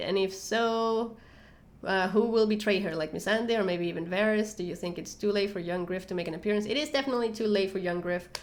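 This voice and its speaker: With audible room echo around her, a woman speaks at medium pitch with ordinary pitch variation. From Venezuela. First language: Spanish. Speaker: YouTuber, TV show commentator. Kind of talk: live stream Q&A. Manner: halting, many fillers.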